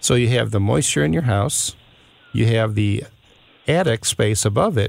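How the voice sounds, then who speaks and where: At a moderate pace, a man with an unremarkable speaking voice and fairly low pitch talks with lively intonation. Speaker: home improvement consultant. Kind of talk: radio call-in advice. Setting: studio.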